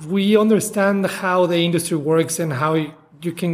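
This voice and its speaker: A man with a Spanish accent, high-pitched, with ordinary pitch variation. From Mexico. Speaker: chef. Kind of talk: interview.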